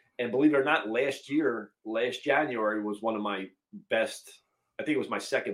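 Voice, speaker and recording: In a plain, everyday voice, a man of medium pitch talks at a moderate pace. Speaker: podcast host and reseller. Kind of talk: casual chat. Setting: home video podcast recording.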